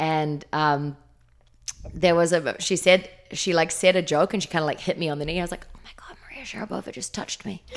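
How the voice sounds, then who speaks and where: A woman with a New Zealand accent talks at a fairly quick pace and a fairly low pitch, with fairly even intonation. Her loudness swings widely, and she leaves long, frequent pauses. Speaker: fitness trainer. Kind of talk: interview. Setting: studio.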